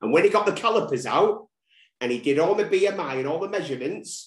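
Lively intonation marks a man's high-pitched voice with a Mancunian accent. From Manchester. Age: 40s. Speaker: recovery social media creator. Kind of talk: casual interview. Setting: remote call.

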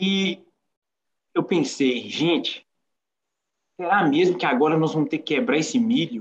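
A man speaks at a fairly slow pace in a high voice, with lively intonation, long and frequent pauses, and very even loudness. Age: 30s. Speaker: visually impaired entrepreneur. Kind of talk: life story testimony.

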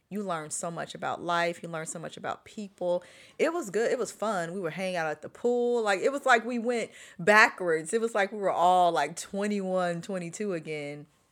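A woman with a normal speaking voice talks at a moderate pace and medium pitch, with ordinary pitch variation, in a very clean recording with a silent background. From Chicago. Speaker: podcast host. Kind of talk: casual chat. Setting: living room at home.

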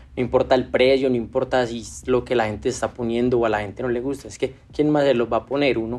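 Man at a very fast pace, medium in pitch, with fairly even intonation and big swings in loudness. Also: hardly any pauses. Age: 30s. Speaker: sneaker restoration entrepreneur. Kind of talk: interview.

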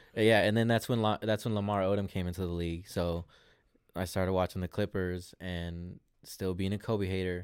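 The recording is very clean, with a silent background. A man with a very deep, low pitch talks at a fairly quick pace in a monotone, flat intonation. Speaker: rapper, men's league soccer player. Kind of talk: casual chat with friends.

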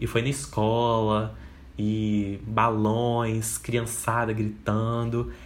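A man speaks at a medium pitch, with audible echo in the room. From Espírito Santo, Brazil. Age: 20s. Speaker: podcast host and advertising student. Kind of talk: casual solo monologue.

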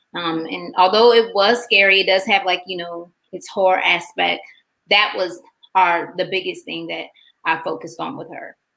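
Her tone bright and sharp with vocal fry, a woman speaks at a moderate pace and medium pitch, with ordinary pitch variation and big swings in loudness. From Macon, Georgia, military brat raised all over. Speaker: talent manager and mother of child actors. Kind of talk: interview, casual chat.

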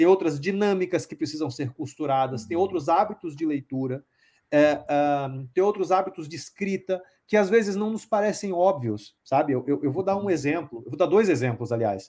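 A man speaks at a moderate pace with a fairly high pitch, lively intonation and a dark, mellow tone. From Brazil, Bahia (Salvador). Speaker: publishing company founder. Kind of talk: interview.

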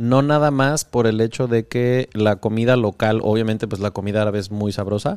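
A man with a Mexican accent speaks at medium pitch with fairly even intonation. The recording is very clean, dry and close, with a silent background and no echo. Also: moderate pace, hardly any pauses. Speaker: podcast host. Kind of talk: casual interview chat.

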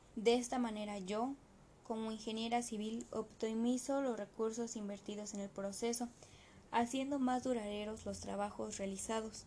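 Amid noticeable background noise, a woman with a fairly high pitch speaks at a moderate pace in a flat monotone. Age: 20s. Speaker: civil engineer. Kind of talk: reading aloud. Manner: formal.

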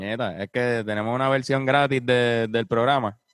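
A man with a normal speaking voice at medium pitch and moderate pace, the sound dry and close with no echo. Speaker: podcast host. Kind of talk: casual chat. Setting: video call from home.

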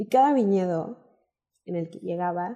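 The voice has a dark, mellow tone. Its pace is fairly slow. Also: woman. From northern Mexico, Coahuila. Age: 20s. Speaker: wine content creator. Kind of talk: interview.

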